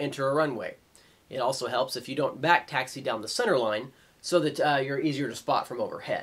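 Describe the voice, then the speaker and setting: Speaking at a fairly quick pace, a man uses lively intonation. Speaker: flight instructor presenter. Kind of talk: tutorial.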